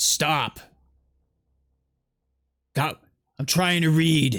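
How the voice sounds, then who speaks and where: The speaker uses a gruff, put-on character voice at a middle pitch. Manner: irritated, annoyed.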